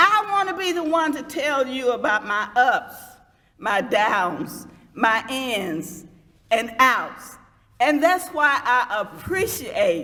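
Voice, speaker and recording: A woman speaks in a raised, projected voice. Her pitch swings very widely at a very slow pace. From US South, Georgia (Lithonia). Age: 70s. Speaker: former mayor, speaker. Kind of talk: public speech.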